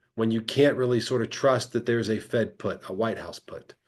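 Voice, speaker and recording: Against a quiet background, a man is speaking. His pace is fairly quick. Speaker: financial research webinar host. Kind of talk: live webinar presentation. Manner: fast.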